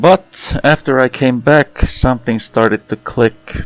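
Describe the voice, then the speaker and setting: In a normal speaking voice with ordinary pitch variation, a man talks at a fairly slow pace with a dry, close sound and no echo. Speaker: sim racing gamer. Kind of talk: gameplay commentary. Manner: calm, reflective.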